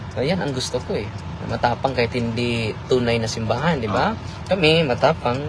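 The speaker moves at a fairly quick pace with ordinary pitch variation. Noticeable background noise is present. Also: man. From Philippines. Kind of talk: casual chat. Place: car. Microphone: phone near.

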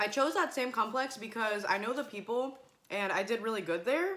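Her tone is bright and sharp. The woman keeps a moderate pace with ordinary pitch variation. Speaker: mukbang vlogger. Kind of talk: casual vlog chat. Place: home room. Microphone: phone near.

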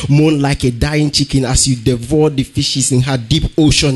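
Speaking at a moderate pace, a man uses a fairly high pitch and fairly even intonation. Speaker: slam poet competitor. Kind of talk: slam poetry performance. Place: hall.

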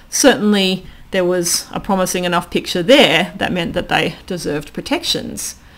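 This woman has an Australian accent and a medium pitch. Her intonation is lively, and her pace is moderate. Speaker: philosophy lecturer and former zookeeper; philosophy lecturer. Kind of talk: casual interview conversation. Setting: recorded at home. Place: home room. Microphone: studio mic.

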